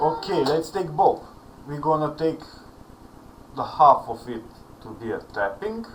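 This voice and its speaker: Speaking at a fairly slow pace with a Serbian accent, a man with a fairly high pitch uses lively intonation, big swings in loudness and long, frequent pauses over noticeable background noise. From Serbia, Belgrade. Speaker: online music student. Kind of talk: tutorial.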